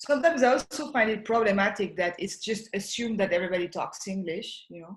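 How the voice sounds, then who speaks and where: A woman with a French accent talks very fast at a medium pitch, with hardly any pauses. Her somewhat breathy voice has lively intonation and big swings in loudness. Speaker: artist. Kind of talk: casual chat. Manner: halting.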